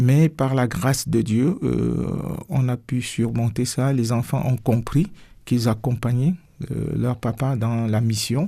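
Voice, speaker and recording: This man talks at a very slow pace with a medium pitch and ordinary pitch variation. His dark, mellow tone is somewhat breathy. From Cameroon. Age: 60s. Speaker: pastor. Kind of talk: radio interview. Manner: hesitant, many fillers.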